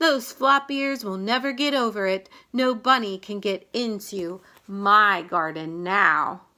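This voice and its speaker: Using a put-on character voice, a woman speaks fairly slowly at a medium pitch with lively intonation on a very clean recording with a silent background. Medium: read story. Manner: emphatic, exclamatory.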